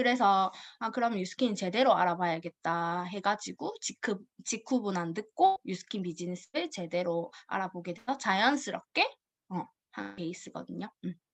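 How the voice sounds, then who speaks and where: Her pitch at a medium level with ordinary variation, a woman talks at a moderate pace. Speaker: network marketing distributor. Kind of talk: personal story presentation. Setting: video call.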